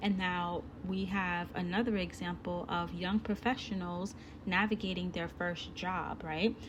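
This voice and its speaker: A woman talks at a fairly slow pace with a medium pitch. Her voice is somewhat breathy, and her intonation is fairly even. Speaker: online course instructor. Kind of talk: recorded course lesson. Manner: slow, deliberate; casual, chatty.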